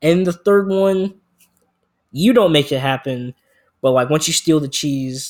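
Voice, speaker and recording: A man's voice at a fairly high pitch. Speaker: video creator talking about games. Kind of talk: casual rambling monologue. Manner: halting, with many fillers and restarts.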